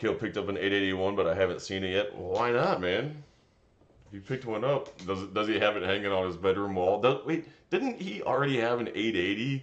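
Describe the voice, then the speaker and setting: A man with a fairly low pitch talks at a fairly quick pace in a plain, everyday voice with ordinary pitch variation. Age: 30s. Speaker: tree service foreman and streamer. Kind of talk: casual live stream chat reading comments.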